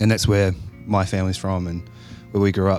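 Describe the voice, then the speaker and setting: Music plays behind a man speaking very fast in a New Zealand accent. His voice is fairly low, with fairly even intonation. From New Zealand, Whanganui. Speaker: metal band member. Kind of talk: casual interview.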